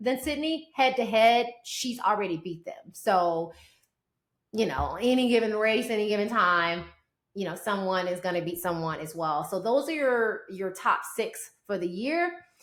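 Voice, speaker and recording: In a Southern US accent, a woman speaks in an animated tone at a fairly slow pace, her fairly high voice moving in very wide pitch swings. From US South. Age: 40s. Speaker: sports podcast host. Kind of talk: sports commentary podcast.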